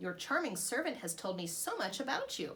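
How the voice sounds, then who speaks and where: A woman uses a put-on character voice at a medium pitch. She speaks at a moderate pace. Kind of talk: regal. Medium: read story.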